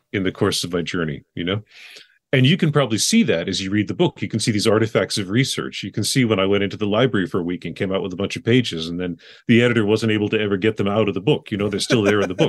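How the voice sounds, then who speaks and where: Against a quiet background, a man with fairly low pitch and ordinary pitch variation talks at a very fast pace. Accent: American. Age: 40s. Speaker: memoir writer and teacher. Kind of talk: interview.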